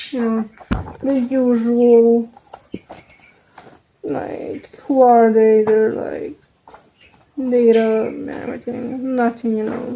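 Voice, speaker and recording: A woman with a Serbian accent speaks very slowly in a fairly high voice, with long, frequent pauses. Her intonation is fairly even while her loudness swings widely. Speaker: vlogger. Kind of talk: casual chat. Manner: halting.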